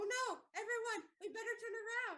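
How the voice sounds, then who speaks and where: In a put-on character voice, someone squeaks out words at an extremely high pitch and a moderate pace. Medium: stage play.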